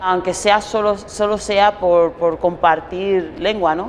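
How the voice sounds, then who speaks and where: A woman with a Spanish accent speaks very slowly at a fairly low pitch with fairly even intonation, over noticeable background noise. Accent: Spanish (Spain). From Spain. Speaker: interviewee. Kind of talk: interview.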